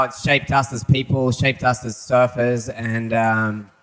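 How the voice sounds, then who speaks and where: A man at a fairly slow pace, with an Australian accent. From Australia, Sydney. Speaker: surfer. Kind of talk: panel talk before a live audience. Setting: venue with live audience.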